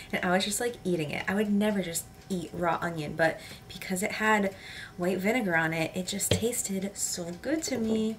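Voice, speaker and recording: Noticeable background noise behind a woman's moderate pace and ordinary pitch variation. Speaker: lifestyle vlogger and live streamer. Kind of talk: casual vlog talk to camera. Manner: casual, rambling, filler-heavy.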